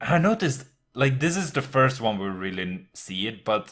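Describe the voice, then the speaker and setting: Lively intonation marks this man's bright, sharp voice with a non-native accent. He keeps to a fairly slow pace. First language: not English. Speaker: anime podcast co-host. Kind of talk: casual chat. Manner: halting, many fillers.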